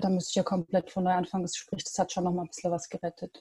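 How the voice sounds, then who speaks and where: A woman speaks at a medium pitch. Her tone is dark and mellow, and somewhat breathy. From Stuttgart, Germany. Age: 20s. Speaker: university student. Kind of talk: interview. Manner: hesitant with many fillers.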